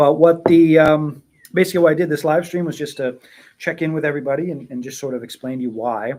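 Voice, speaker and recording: A man's unremarkable speaking voice, pitched fairly high, its pitch varying in an ordinary way. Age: 40s. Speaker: tea seller. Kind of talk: casual live stream chat. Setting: live stream at home. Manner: relaxed, many fillers and repetitions.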